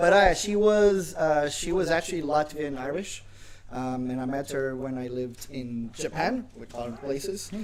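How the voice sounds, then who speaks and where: Against noticeable background noise, a man with a fairly high pitch speaks at a moderate pace, his intonation lively and his loudness swinging widely. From Portugal, Algarve. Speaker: comedian. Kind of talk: casual chat.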